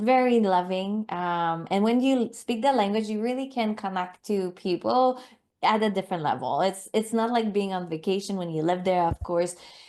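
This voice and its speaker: Against a quiet background, a voice with a French accent and a dark, mellow tone speaks at a moderate pace with ordinary pitch variation and hardly any pauses. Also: woman, medium pitch for a woman. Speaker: intuitive mentor and healer. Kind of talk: interview.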